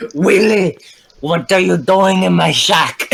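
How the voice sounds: This is a put-on character voice, raspy and at middle pitch. It moves at a fairly slow pace.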